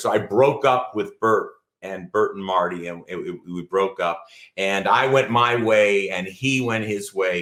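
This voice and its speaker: On a very clean recording with a silent background, a man with an American accent talks at a moderate pace, his medium-pitched voice bright and sharp in tone with ordinary pitch variation. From Ohio, US Midwest. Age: 60s. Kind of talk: testimony.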